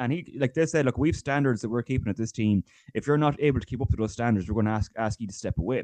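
Delivered at a very fast pace in an Irish accent, the speech shows ordinary pitch variation and has a dry, close sound with no echo. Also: man, medium pitch for a man. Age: 20s. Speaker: GAA fitness coach. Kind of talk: casual interview.

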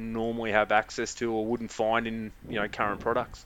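Talking at a fairly quick pace, a man with an Australian accent keeps a medium pitch and a monotone, flat intonation. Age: 40s. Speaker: trading card business owner. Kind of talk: casual chat.

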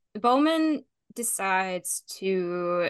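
A woman of medium pitch speaks with a Southern US accent and a bright, sharp tone. The background is quiet. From Tennessee. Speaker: podcast host. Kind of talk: casual chat.

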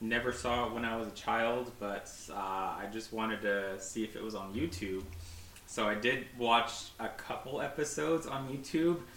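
At a moderate pace, a man with a medium pitch and ordinary pitch variation talks over noticeable background noise. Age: 30s. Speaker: archery retail worker and podcast guest. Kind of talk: casual chat.

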